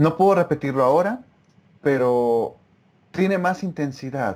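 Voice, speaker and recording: A man's fairly high-pitched voice with ordinary pitch variation. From Mexico. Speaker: former Russian-language student, interviewee. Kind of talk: casual interview over video call. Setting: remote video call.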